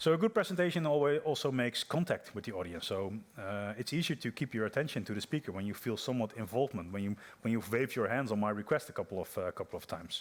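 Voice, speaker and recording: Speaking very fast in a Dutch accent, a man uses a medium pitch and lively intonation. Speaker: software developer, conference speaker. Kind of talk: conference talk. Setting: stage with audience. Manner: hesitant, many fillers and repeats.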